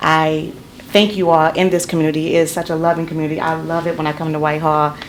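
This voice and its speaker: Talking at a very fast pace, a woman with a very deep, low voice speaks in a flat monotone, with audible room echo and noticeable background noise. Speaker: public defender and judicial candidate. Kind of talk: public comment at council meeting. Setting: city council meeting. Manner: loud.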